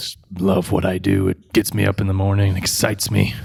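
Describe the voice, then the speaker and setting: In a put-on character voice, a man speaks raspy and fairly low-pitched at a fairly quick pace, his intonation monotone and flat. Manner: sarcastic.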